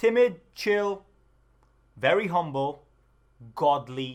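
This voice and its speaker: Loud and very slow, a man talks with very wide pitch swings. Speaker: streamer giving tutorial. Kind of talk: tutorial. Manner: energetic.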